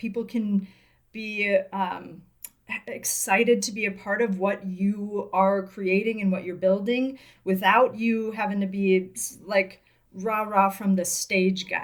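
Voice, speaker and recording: In a slight Midwestern American accent, a woman speaks fairly slowly. Her intonation stays fairly even. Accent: Midwest American, slight. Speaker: business coach and podcast co-host. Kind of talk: casual podcast conversation.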